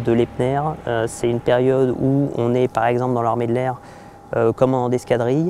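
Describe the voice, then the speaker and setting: A man speaks with music playing in the background. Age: 30s. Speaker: military test pilot. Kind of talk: interview testimony. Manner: hesitant with many fillers.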